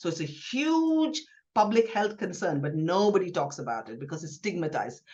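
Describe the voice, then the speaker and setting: A woman speaks at a fairly low pitch, somewhat breathy, with very wide pitch swings. Her loudness rises and falls in big swings. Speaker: gynaecologist. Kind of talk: podcast interview. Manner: fast.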